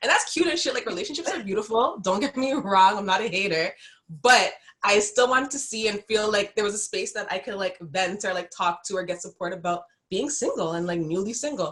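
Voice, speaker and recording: With lively intonation and a medium pitch, this woman has a plain, everyday voice. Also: fairly quick pace. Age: 30s. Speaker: brand founder, self-love advocate. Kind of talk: casual chat.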